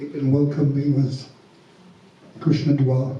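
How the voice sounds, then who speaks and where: A man's somewhat breathy voice, fairly high in pitch, at a fairly slow pace with audible room echo. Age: 70s. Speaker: congregation member. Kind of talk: personal testimony. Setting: temple Sunday program. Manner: halting.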